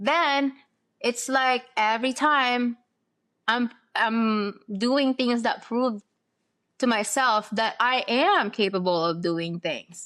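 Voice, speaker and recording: At a very slow pace with long, frequent pauses, a high-pitched woman with a non-native accent and a bright, sharp tone is heard on a very clean recording with a silent background. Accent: noticeable foreign. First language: not English. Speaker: podcast host. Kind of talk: casual chat.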